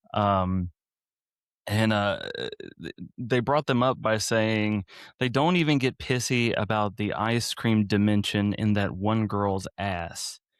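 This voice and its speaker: A man speaks at a very slow pace with ordinary pitch variation. The recording is very clean and the background silent. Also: fairly low pitch for a man, dry, close sound with no echo. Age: 40s. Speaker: podcast host. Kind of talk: casual chat.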